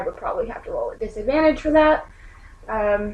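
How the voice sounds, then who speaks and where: This woman speaks at a fairly quick pace. Noticeable background noise runs behind her. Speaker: tabletop role-playing game player.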